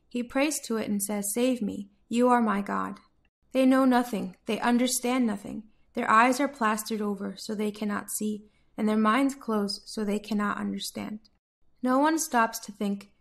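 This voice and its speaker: A woman with an American accent speaks at a moderate pace and fairly high pitch, somewhat breathy and with fairly even intonation, on a very clean recording with a silent background. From United States. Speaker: Bible reader, daily devotional voice service. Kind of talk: Bible passage reading, devotional narration.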